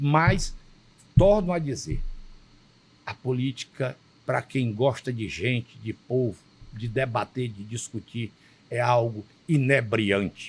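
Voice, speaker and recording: Speaking at a very slow pace with long, frequent pauses, a man has a medium pitch, ordinary pitch variation, a somewhat breathy sound and big swings in loudness. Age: 70s. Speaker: state politician and physician. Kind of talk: interview. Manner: formal; emphatic.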